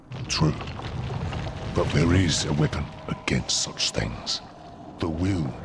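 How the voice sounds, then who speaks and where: A man uses a put-on character voice with a very deep, low pitch. He talks at a fairly slow pace over clear background noise. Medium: video game. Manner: slow, solemn.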